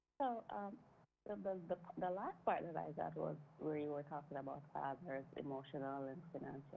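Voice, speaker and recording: With a very deep, low pitch and vocal fry, a woman speaks at a moderate pace with ordinary pitch variation. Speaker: caller. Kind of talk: call-in radio chat.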